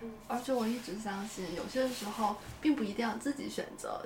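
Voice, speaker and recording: There is audible room echo and noticeable background noise behind a woman's voice. She speaks at a moderate pace with a fairly high pitch and ordinary pitch variation. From China, Shandong (Yantai). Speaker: urban planner. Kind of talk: casual conversation.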